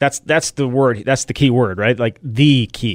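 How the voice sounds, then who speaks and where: A man's plain, everyday voice at a medium pitch and a moderate pace, with a dry, close sound and no echo. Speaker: sports podcast co-host. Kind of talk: casual sports talk.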